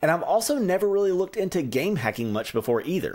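A man's voice over a quiet background. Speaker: tech content creator. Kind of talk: tutorial. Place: home room.

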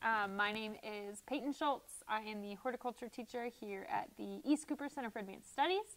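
With hardly any pauses, a woman in an American accent talks at a fairly quick pace, her fairly high pitch showing ordinary variation. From US Midwest. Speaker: horticulture teacher. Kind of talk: casual interview. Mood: relaxed, chatty. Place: studio. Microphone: lapel.

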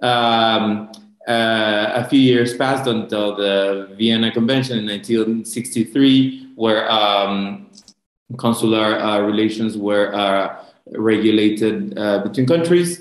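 Against a quiet background, a man speaks at a very slow pace with ordinary pitch variation, and the room echo is audible. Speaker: government consular official, panelist. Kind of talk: panel presentation. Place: home room. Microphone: video call.

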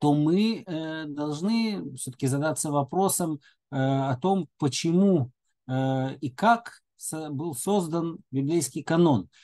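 Over a quiet background, a man speaks at a fairly slow pace. His tone is dark and mellow. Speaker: lecturer. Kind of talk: lecture. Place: home room. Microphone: webcam.

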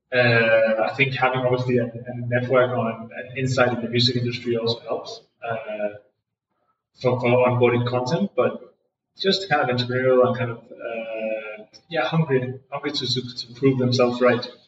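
A man speaks at medium pitch and a moderate pace, his intonation fairly even. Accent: Danish. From Denmark. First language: Danish. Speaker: music streaming startup founder. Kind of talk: interview. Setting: echoey room in a co-working space. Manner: hesitant with fillers and repetitions.

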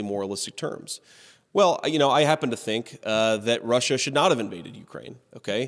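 A man with lively intonation over a quiet background. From Ohio. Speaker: author and political candidate. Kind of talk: conference keynote speech. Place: hall. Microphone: podium.

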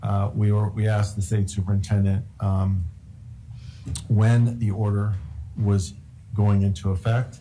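At a fairly slow pace, a man with a fairly low pitch speaks in a monotone, flat intonation at very even loudness, with long, frequent pauses and light background noise. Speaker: school superintendent. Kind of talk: public meeting. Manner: halting. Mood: measured, slightly frustrated. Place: meeting room. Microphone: podium.

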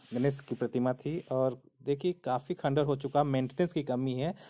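Against a quiet background, a man talks at a fairly slow pace in a dark, mellow tone. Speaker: travel vlogger. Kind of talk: casual vlog commentary. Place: open country. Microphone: phone near.

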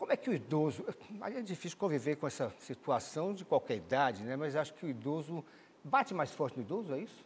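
Here a man's voice is fairly high in pitch, with ordinary pitch variation. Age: 60s. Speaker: TV morning show host. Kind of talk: TV studio interview. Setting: TV studio. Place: studio. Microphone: lapel.

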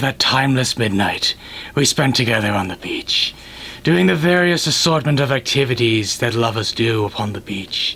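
A man's medium-pitched voice with very wide pitch swings, a moderate pace and clear background noise. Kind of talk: mock-Shakespearean comic overacting. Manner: pompous, indignant, declamatory.

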